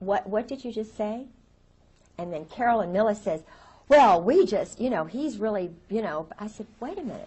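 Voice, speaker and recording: Speaking in an American accent, the voice is somewhat breathy with lively intonation. The pace is moderate. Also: woman. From US South. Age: 50s. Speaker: interviewee, military wife. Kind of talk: interview testimony. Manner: repetitive, stammering.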